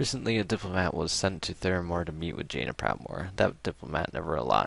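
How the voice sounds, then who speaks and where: Vocal fry runs through a man's very deep, low voice as it makes very wide pitch swings. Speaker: gaming video creator. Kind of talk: reading aloud; casual chat. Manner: halting.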